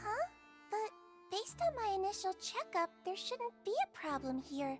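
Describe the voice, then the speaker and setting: A female-sounding, put-on character voice hits an extremely high pitch. Clear music plays in the background. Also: moderate pace. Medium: video game. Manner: soft, soothing, reassuring.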